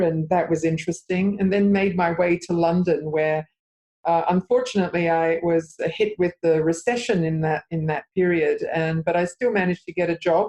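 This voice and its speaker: Fairly even intonation marks this speaker, who has an Australian accent. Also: woman. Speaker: interior designer. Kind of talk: interview. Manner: hesitant, many fillers.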